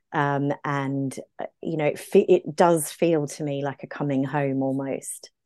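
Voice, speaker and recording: With an Australian accent, the speech is fairly slow with hardly any pauses, a dark, mellow tone and monotone, flat intonation in a dry, close sound with no echo. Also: woman, very deep, low pitch for a woman. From Brisbane, Queensland, Australia. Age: 40s. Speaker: medical herbalist. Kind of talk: casual interview chat.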